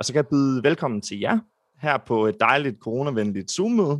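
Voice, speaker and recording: A plain, everyday voice from a man at medium pitch, with lively intonation and a dry, close sound with no echo. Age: 20s. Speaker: podcast host. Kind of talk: podcast hosting. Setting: video call.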